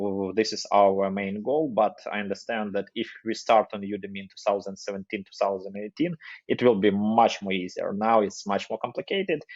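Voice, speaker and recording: A man with a non-native accent and fairly low pitch speaks at a moderate pace with hardly any pauses, fairly even intonation and big swings in loudness, in a dry, close sound with no echo against a quiet background. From Ukraine. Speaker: agency CEO and marketing educator. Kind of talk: podcast interview. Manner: halting.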